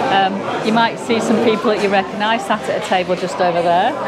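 A woman at a fairly quick pace over loud background noise. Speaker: travel vlogger. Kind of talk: casual vlog walkthrough commentary. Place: bar. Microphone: phone near.

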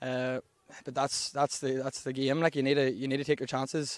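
At a very fast pace, a man with a Northern Irish accent speaks in a medium pitch with monotone, flat intonation, the sound dry and close with no echo. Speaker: club captain being interviewed. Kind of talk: post-match interview, casual chat. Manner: relaxed, conversational.

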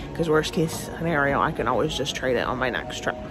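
Clear music plays behind a woman with a very deep, low voice. The sound is dry with no echo. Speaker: family vlogger. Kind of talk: casual vlog chat. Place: hall. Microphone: phone near.

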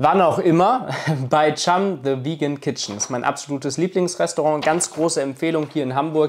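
With an ordinary speaking voice, a man talks at a moderate pace and fairly high pitch, showing ordinary pitch variation over light background noise. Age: 20s. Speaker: YouTuber; vlogger. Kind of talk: vlog monologue to camera. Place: home room. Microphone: lapel.

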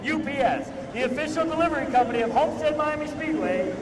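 An energetic tone at a fairly quick pace, with noticeable background noise. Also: man. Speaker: public address announcer. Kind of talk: race pre-race show announcing, driver introductions. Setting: PA system at a speedway. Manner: energetic, crowd-rousing. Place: stadium. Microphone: handheld.

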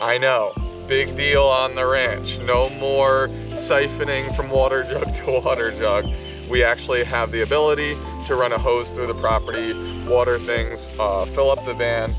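Over clear music in the background, a man speaks at a moderate pace in a dry sound with no echo. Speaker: homesteader vlogger. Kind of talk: casual vlog chat. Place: garden.

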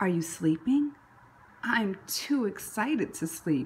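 Big pitch swings mark a woman's speech, delivered at a slow pace.

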